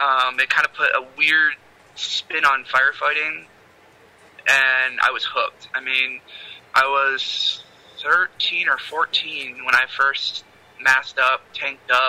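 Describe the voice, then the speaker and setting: A man with an American accent talks at a very slow pace. His speech has long, frequent pauses. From Michigan. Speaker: author. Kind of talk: casual chat.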